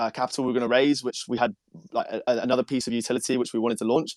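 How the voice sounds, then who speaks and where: A man with a British accent speaks at a very fast pace at a medium pitch in a monotone, flat intonation, the sound dry and close with no echo on a very clean recording with a silent background. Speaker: NFT project founder. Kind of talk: casual chat.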